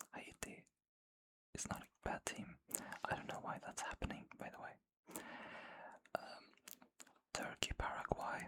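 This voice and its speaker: Someone whispers at a moderate pace, leaving long, frequent pauses. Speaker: ASMR creator. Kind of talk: ASMR football predictions talk. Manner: whispered.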